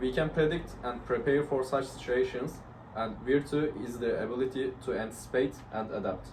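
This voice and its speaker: Intonation stays fairly even, delivered with a Turkish accent. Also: man, medium pitch for a man, moderate pace. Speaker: university student. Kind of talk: class presentation discussion. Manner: hesitant, many fillers.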